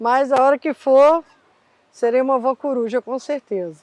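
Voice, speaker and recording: At a moderate pace, a woman with a high pitch keeps a fairly even intonation in a dry, close sound with no echo. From Rio de Janeiro, Brazil. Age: 40s. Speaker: taxi driver. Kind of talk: interview.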